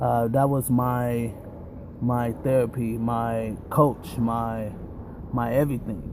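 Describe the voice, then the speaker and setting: Clear background noise runs through the clip. A man does the talking. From South Central Los Angeles, California. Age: 20s. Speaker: drummer and musician. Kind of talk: casual vlog monologue. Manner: casual, filler-heavy.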